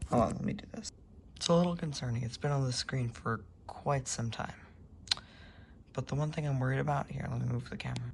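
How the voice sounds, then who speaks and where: A woman talks at a very fast pace, stopping for long, frequent pauses, with noticeable background noise behind her. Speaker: tech YouTuber. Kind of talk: casual vlog narration. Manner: casual, halting.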